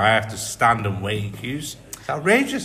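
A man speaks with a strong Mancunian accent. His fairly low voice has a bright, sharp tone. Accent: thick Mancunian English. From Manchester. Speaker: tourist. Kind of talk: casual chat.

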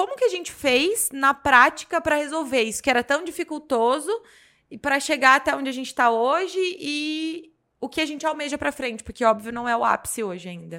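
On a very clean recording with a silent background, a woman with a high pitch and a bright, sharp tone speaks in a raised, projected voice at a fairly quick pace, with lively intonation and big swings in loudness. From Brazil, Jundiaí, São Paulo state. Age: 30s. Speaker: business mentor and podcaster. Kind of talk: casual chat.

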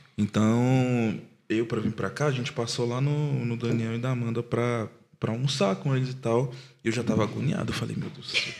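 Noticeable background noise accompanies a man talking in a medium pitch. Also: moderate pace. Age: 20s. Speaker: podcast producer and father. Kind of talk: casual chat.

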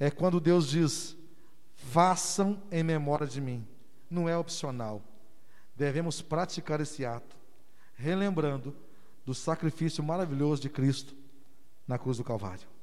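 In audible room echo, a man talks at a fairly slow pace and fairly high pitch, with ordinary pitch variation and long, frequent pauses. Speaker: pastor. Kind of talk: sermon. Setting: church.

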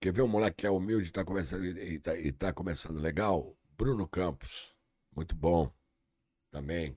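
In a very clean recording with a silent background, a man with a very deep, low, dark and mellow voice and vocal fry speaks at a moderate pace with ordinary pitch variation and long, frequent pauses. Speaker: comedian. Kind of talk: casual chat.

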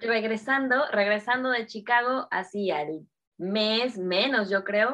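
A woman with a Mexico City accent speaks at a medium pitch. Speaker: entrepreneur, game designer. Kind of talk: casual interview chat.

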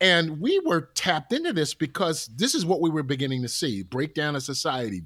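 This man's voice is fairly high-pitched, with vocal fry and a bright, sharp tone. His intonation is lively and his pace moderate. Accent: American. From Newark, New Jersey. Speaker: pastor and musician. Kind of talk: casual interview conversation. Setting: remote call from home.

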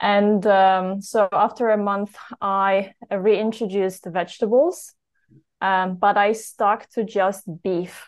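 The speaker has a Polish accent and a very slow pace. Intonation stays fairly even. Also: woman, medium pitch for a woman. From Poland. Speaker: health story guest. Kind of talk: interview.

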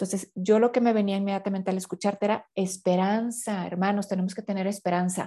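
A woman with a Mexican accent talks at a very fast pace with hardly any pauses, her medium-pitched voice dark and mellow in a flat monotone. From Mexico. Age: 50s. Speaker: consecrated laywoman, inner healing specialist. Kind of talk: podcast interview on faith and inner healing.

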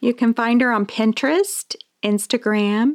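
A woman has a plain, everyday voice at a fairly high pitch. The sound is dry and close with no echo. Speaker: biblical counselor and podcast co-host. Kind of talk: casual chat.

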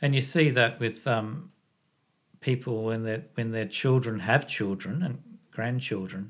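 On a very clean recording with a silent background, a man speaks with an Australian accent. His medium pitch shows ordinary variation at a moderate pace. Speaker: podcast host, former engineer. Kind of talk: casual interview chat. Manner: halting, many repetitions.

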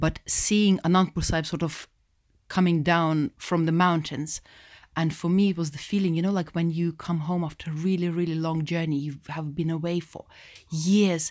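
A woman's fairly low, monotone, flat voice with a Russian accent at a moderate pace, on a very clean recording with a silent background. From Russia (Moscow). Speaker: Sikh community educator. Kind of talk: interview.

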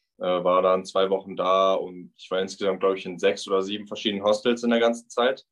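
The speech races at a very fast pace with a flat, monotone delivery, big swings in loudness, and hardly any pauses. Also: man, fairly low pitch for a man. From Ruhr area, Germany (Bochum). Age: 20s. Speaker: backpacker. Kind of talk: casual interview.

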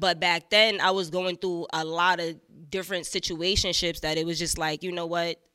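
A woman's fairly low voice carries a bright, sharp tone and a flat, monotone intonation. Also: moderate pace. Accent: New York. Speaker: rapper. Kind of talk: casual interview chat.

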